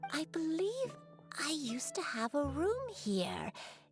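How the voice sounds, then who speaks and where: With clear music in the background, a woman uses a put-on character voice in a gentle tone at a fairly slow pace. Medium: video game. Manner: gentle, hesitant.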